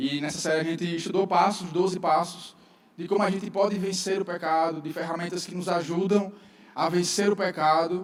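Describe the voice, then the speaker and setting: Audible room echo and noticeable background noise around fairly even intonation. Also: man, high pitch for a man. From northeastern Brazil, João Pessoa. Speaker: pastor. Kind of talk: sermon. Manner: fast.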